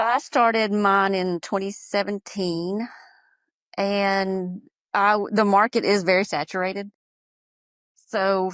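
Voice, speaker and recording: A woman with a Southern US accent talks at a very slow pace and a medium pitch in a monotone, flat intonation, with a dry, close sound and no echo. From US South, Georgia. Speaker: small business owner, soap maker. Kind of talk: podcast interview. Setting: audio-only remote call.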